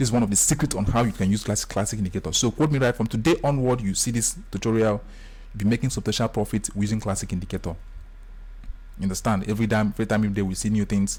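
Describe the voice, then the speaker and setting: A man with a fairly low, somewhat breathy voice speaks very fast, keeping very even loudness and ordinary pitch variation. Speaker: forex trading tutor. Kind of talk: screen-share tutorial. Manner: animated.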